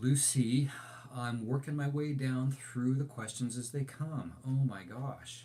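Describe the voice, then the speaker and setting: A man speaks at a very slow pace with fairly even intonation. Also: medium pitch for a man. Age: 60s. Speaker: overlanding channel host, graphic designer. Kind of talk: live stream Q&A chat. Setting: live stream. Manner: casual, hesitant with many fillers.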